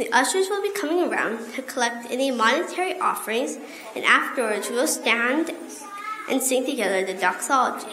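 A woman talks at a fairly quick pace in a raised, projected voice. There is noticeable background noise. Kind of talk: liturgical prayer and announcements. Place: church. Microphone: podium.

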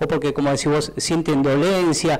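At a fairly quick pace, a man talks in a normal speaking voice. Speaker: TV interviewer host. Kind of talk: casual interview. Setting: studio. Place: studio.

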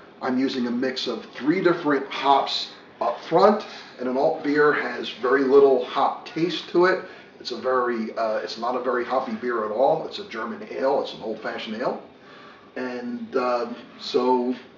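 A man talks at a moderate pace with big swings in loudness. Audible room echo and light background noise are present. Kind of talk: tutorial. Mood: relaxed, casual. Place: kitchen. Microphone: camera far.

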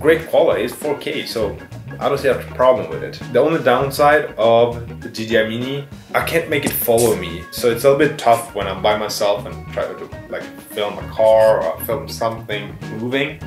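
A man at a moderate pace, big swings in loudness, clear music in the background. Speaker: photography vlogger. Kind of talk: casual vlog chat. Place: studio.

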